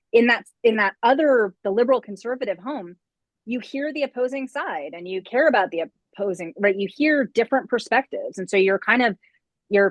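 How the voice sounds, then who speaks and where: A woman with a plain, everyday voice speaks at a moderate pace and a fairly high pitch, with lively intonation. Her loudness swings widely, and the sound is dry and close with no echo. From upstate New York. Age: 40s. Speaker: political science professor. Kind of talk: interview conversation.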